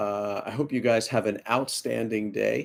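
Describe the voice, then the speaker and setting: Intonation stays fairly even as a man speaks with an American accent. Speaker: bodybuilding coach. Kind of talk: live stream Q&A. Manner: casual, frequent fillers.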